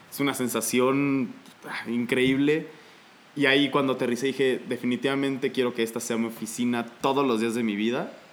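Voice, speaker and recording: The man talks at a moderate pace in a medium pitch. His intonation is monotone and flat. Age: 20s. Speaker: aspiring airline pilot and paramedic. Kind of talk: casual chat.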